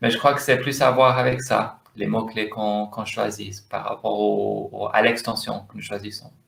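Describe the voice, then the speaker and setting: The pace is fairly slow. The speaker is a man with an English accent. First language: English (speaking French). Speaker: domain name investor. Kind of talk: interview. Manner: halting, searching for words.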